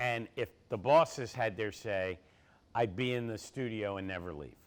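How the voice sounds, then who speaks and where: With an American accent, a man talks in a normal speaking voice at a fairly low pitch and moderate pace, with ordinary pitch variation, on a very clean recording with a silent background. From Philadelphia, US. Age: 60s. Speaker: college basketball analyst. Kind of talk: audience Q&A at university event.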